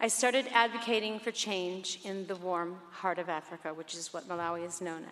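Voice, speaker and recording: A woman at a fairly quick pace, a plain, everyday voice with ordinary pitch variation. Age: 60s. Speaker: pop singer. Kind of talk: award acceptance speech.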